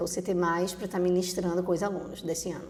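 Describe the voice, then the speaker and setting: A monotone, flat delivery in a Recife accent, with audible room echo and noticeable background noise. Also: woman. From Brazil, Recife (Pernambuco). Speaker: teacher and behavioral profile consultant. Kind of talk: podcast interview.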